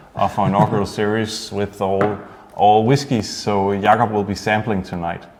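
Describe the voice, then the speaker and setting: A man speaks at a moderate pace in a fairly low, monotone, flat voice over noticeable background noise. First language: Danish. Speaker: distillery host of whisky tasting. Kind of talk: online tasting livestream. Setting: studio at distillery, livestream.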